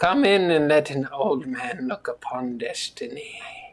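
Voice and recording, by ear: Putting on a raspy character voice, a man talks at a moderate pace with a fairly high pitch.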